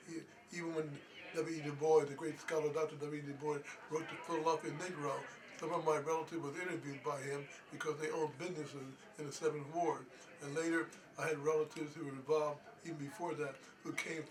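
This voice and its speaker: Over noticeable background noise, a man with a fairly high pitch talks at a very fast pace in a monotone, flat delivery, with long, frequent pauses. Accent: American. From US Northeast, Pennsylvania (Norristown). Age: 80s+. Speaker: historian. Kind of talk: interview. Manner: halting.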